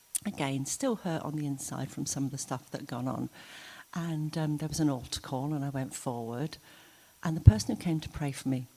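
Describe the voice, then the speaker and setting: Heard on a very clean recording with a silent background, a woman with a very deep, low pitch and a dark, mellow tone speaks at a moderate pace with ordinary pitch variation. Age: 60s. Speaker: church member. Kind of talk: testimony. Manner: conversational, hesitant with fillers.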